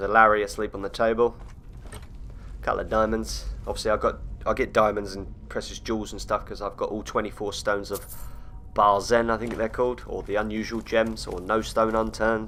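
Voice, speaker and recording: At a fairly quick pace, a man talks with a British accent. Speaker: gaming YouTuber. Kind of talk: gameplay commentary. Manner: stutters on words at times; sounds serious.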